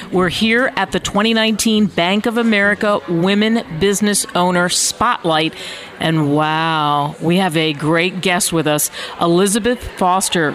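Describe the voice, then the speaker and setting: A woman speaks at a very slow pace, her loudness very even. Noticeable background noise can be heard. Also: medium pitch for a woman, ordinary pitch variation. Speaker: radio host. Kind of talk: casual interview. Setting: live event.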